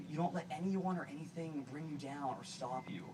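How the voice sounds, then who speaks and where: Noticeable background noise sits behind a man talking at a fairly quick pace. He speaks with an American accent. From US Northeast, Boston. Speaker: actor and guest speaker. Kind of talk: public speech. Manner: halting, repetitive. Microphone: poor video quality.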